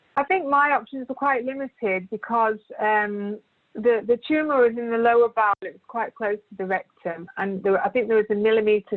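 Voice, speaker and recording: A woman with a British accent speaks in a fairly high voice. Her loudness swings widely. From Britain. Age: 40s. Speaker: cancer patient, primary school teacher. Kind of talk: testimony.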